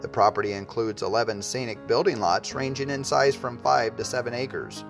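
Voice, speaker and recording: Backed by music, a man talks at a moderate pace in a medium pitch. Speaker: real estate and auction company narrator. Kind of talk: real estate promotional narration.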